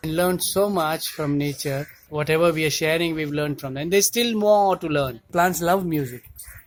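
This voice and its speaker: A man with a Gujarati accent and a fairly high pitch speaks at a moderate pace with ordinary pitch variation and hardly any pauses. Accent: Indian English (Gujarati). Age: 60s. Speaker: cardiologist and organic farmer. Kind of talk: interview monologue. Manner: hesitant with fillers.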